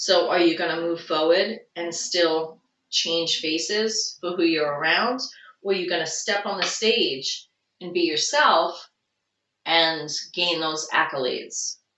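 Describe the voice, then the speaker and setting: The speaker talks at a very slow pace with a Long Island accent. Pitch variation is ordinary. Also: woman. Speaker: tarot reader. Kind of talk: tarot reading.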